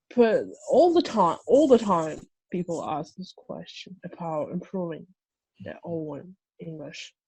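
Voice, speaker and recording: A woman with a Russian accent speaks at a fairly slow pace, her loudness swinging widely. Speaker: translator. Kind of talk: casual chat. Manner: halting.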